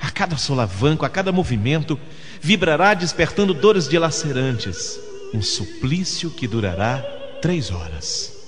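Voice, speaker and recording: A man speaks at a moderate pace with a fairly high pitch and very wide pitch swings. Music plays in the background. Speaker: radio announcer; voice-over artist for commercials. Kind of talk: dramatic religious narration.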